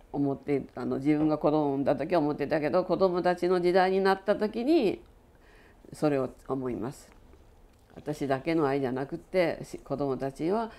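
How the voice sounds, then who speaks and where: Her voice is very deep and low with a dark, mellow tone. The woman speaks at a moderate pace with lively intonation. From Japan, Nagasaki; Japan. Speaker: atomic bomb survivor and storyteller. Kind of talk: testimony. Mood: solemn, reflective.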